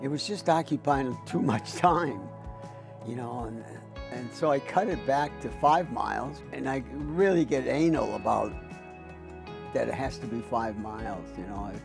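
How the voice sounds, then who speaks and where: Music plays behind a man who talks at a fairly slow pace, leaving long, frequent pauses. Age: 80s+. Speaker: abstract painter. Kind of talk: documentary interview answer.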